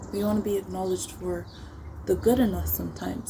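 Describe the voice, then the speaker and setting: Over a noticeable hum of background noise, a woman speaks fairly quickly. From Africa. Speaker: YouTuber. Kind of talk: casual talk to camera.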